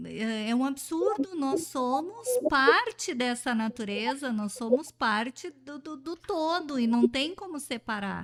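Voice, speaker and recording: Speaking very slowly, a woman uses a high pitch and lively intonation in a bright, sharp tone. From Brazil. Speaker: radio host and pedagogue. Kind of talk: radio interview. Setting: radio studio.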